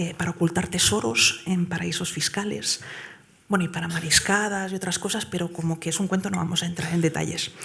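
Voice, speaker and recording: Noticeable background noise sits behind a soft-spoken woman with a fairly low pitch. She talks at a fairly quick pace with fairly even intonation. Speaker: award-winning whistleblower. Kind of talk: award acceptance speech. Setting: stage with audience at gala. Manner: hesitant, many fillers.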